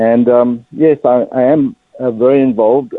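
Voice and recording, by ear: A man speaks at a medium pitch with a South African accent, and the sound is dry and close with no echo.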